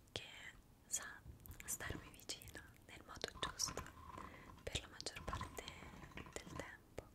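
A woman whispering at a very slow pace. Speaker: ASMR creator. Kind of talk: soft-spoken casual chat. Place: home room.

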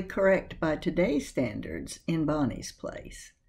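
Vocal fry colors this woman's voice. She speaks at a fairly slow pace. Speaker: video host / book presenter. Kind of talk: scripted narration about a book. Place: home room. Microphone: webcam.

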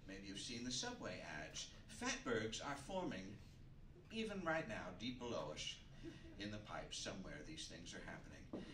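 A man talks at a moderate pace while noticeable background noise plays behind him. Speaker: comedian host. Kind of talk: stand-up comedy monologue. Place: stage.

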